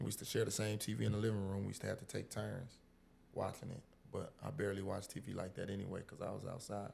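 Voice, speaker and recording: Very fast speech from a man with a fairly low pitch, vocal fry and fairly even intonation. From Illinois. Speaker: restaurant owner, former college basketball player. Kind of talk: casual chat.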